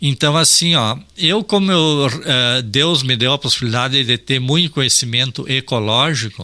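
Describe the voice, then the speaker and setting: A man speaks in a bright, sharp tone at a fairly slow pace. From Rio Grande do Sul, Brazil (Ijuí). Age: 60s. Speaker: environmentalist and farmer. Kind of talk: radio interview. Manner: casual, with frequent fillers (tá, assim ó).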